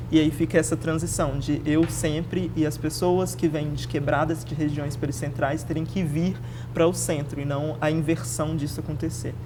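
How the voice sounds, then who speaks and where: With audible room echo around her, a woman talks with hardly any pauses. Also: moderate pace. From Belo Horizonte, Minas Gerais, Brazil (north zone). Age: 20s. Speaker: activist and historian. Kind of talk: casual interview.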